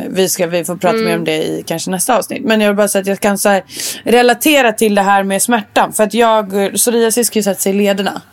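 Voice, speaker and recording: A woman talks at a fairly quick pace with a medium pitch and ordinary pitch variation. Noticeable background noise sits behind her. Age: 20s. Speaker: podcast co-host. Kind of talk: casual chat.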